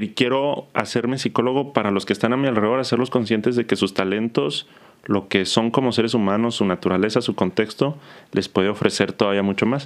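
A man with a normal speaking voice talks at a fairly quick pace, his medium pitch showing ordinary variation. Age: 30s. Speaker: psychologist. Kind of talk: casual interview.

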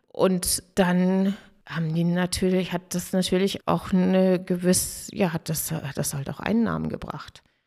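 In a normal speaking voice, a woman talks at a fairly slow pace with fairly even intonation on a very clean recording with a silent background. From northern Germany, Dangast (Friesland). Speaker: restaurant owner from a family business. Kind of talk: interview.

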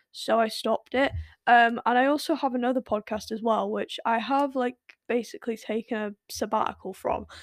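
A woman has a plain, everyday voice, pitched fairly high with ordinary pitch variation, at a moderate pace. The sound is dry and close with no echo, on a very clean recording with a silent background. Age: young. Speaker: podcast host. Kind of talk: casual solo monologue. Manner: filler-heavy, self-correcting.

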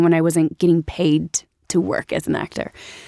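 In a very clean recording with a silent background and a dry, close sound with no echo, a woman with an American accent uses an ordinary speaking voice, fairly low in pitch and fairly quick in pace. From US Midwest (Ferguson, Missouri). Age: 30s. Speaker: actress. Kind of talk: casual chat.

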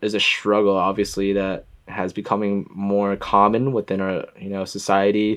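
A plain, everyday voice from a man with an American accent, fairly low in pitch, at a moderate pace against a quiet background. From US Northeast (Boston, then Connecticut). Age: 20s. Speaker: podcast guest, photographer. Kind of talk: casual chat.

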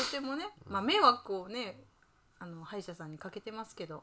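Speaking at a medium pitch in a relaxed tone, a woman lets her pitch swing very widely against noticeable background noise. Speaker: podcast co-host living at a temple. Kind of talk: casual chat.

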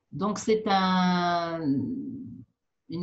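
Lively intonation marks this woman's somewhat breathy voice at a medium pitch. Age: 60s. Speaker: physician. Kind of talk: interview. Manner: halting, frequent repetitions.

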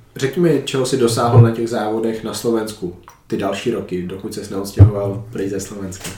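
Talking at a fairly quick pace, a man with a fairly low pitch swings widely in loudness. Noticeable background noise and audible room echo fill the recording. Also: ordinary pitch variation. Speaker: podcast host. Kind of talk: casual interview.

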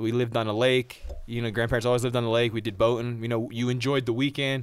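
Speaking very fast with an American accent, a man holds a monotone, flat intonation at medium pitch in a very clean recording with a silent background. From New Jersey. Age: 30s. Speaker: person in recovery sharing his story. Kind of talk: personal testimony in casual interview.

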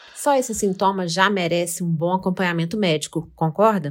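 At a moderate pace and medium pitch, a woman talks in an unremarkable speaking voice on a very clean recording with a silent background. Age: 50s. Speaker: podcast host. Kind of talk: scripted narration.

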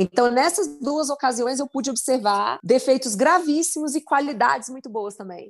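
Against a quiet background, a woman speaks at a moderate pace in a high pitch with lively intonation. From Brasília, Brazil. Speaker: politician. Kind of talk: interview.

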